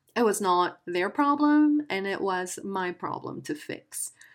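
A woman with a Spanish accent and lively intonation, at a fairly slow pace, in a very clean recording with a silent background. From Guatemala. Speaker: podcast host. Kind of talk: casual monologue. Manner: hesitant.

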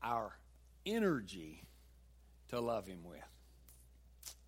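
Heard here is a man. He speaks with a Southern US accent. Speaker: pastor. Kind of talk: sermon. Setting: church.

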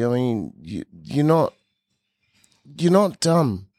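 A man with an ordinary speaking voice talks at a fairly slow pace, fairly high in pitch. His intonation is lively, and the sound is dry and close with no echo. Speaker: podcast host. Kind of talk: casual interview chat.

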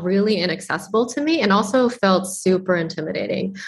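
A fairly quick, somewhat breathy American-accented voice with lively intonation. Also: woman. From Boston, Massachusetts. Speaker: tech startup co-founder and CTO. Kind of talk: interview.

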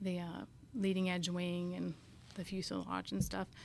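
A woman speaks with a West Coast accent. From Northern California. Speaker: air force maintenance inspector. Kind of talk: interview.

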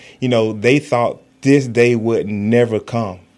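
This man has a normal speaking voice at medium pitch, with an American accent and fairly even intonation. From Florida (Fort Pierce). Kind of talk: radio interview.

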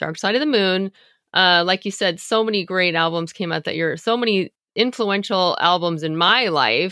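On a very clean recording with a silent background, a woman with a bright, sharp tone speaks at a moderate pace, her pitch fairly low with ordinary variation. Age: 50s. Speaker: music podcast co-host. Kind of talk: casual chat.

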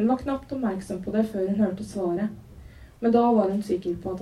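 Someone reads the text aloud in a natural voice.

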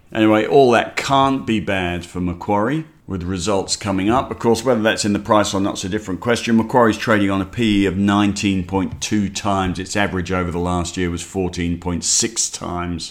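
An Australian-accented man with a fairly low voice, speaking at a fairly quick clip with hardly any pauses. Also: ordinary pitch variation. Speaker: investment newsletter host. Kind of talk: market commentary podcast.

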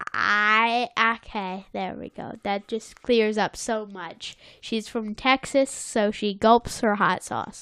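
Someone does plain reading aloud. Their intonation is fairly even.

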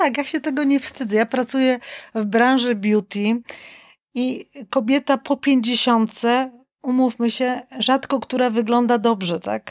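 At a fairly slow pace, a woman speaks in a high pitch, the sound dry and close with no echo. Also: very clean recording, silent background. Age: 50s. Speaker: winter swimmer and image consultant. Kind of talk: casual chat. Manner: animated.

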